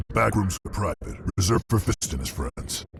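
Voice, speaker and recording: A man puts on a character voice, pitched very deep and low. He talks at a fairly quick pace. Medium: video game. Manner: curt.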